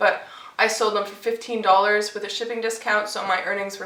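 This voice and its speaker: Amid audible room echo and noticeable background noise, a woman at a medium pitch talks at a fairly quick pace with monotone, flat intonation. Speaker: online reseller vlogger. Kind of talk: casual vlog. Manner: casual, filler-heavy.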